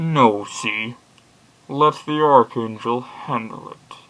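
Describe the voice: A put-on character voice moves along at a very slow pace. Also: man, medium pitch for a man.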